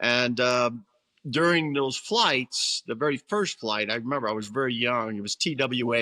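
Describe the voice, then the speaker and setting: A man speaks at a moderate pace in a bright, sharp tone. The recording is very clean, with a silent background. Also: dry, close sound with no echo. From Brooklyn, New York. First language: Italian. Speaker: retired military pilot. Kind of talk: interview.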